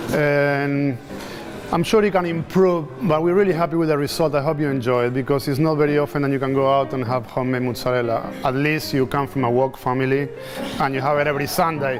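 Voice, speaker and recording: A man talks at a very fast pace with ordinary pitch variation. Music plays in the background. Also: fairly high pitch for a man. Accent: non-native. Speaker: chef, home restaurant owner. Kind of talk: speech to dinner guests. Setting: dinner event with guests.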